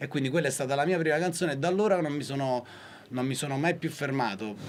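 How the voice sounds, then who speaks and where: A man rattles along at a very fast pace amid noticeable background noise. His voice sits fairly high, its pitch varying in an ordinary way. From Naples. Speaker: singer-songwriter. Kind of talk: interview.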